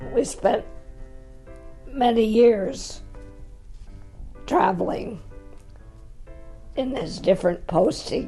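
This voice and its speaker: Over music in the background, a woman speaks very slowly at a fairly high pitch with lively intonation. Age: 80s+. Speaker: retiree in seniors residence. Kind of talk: interview answer.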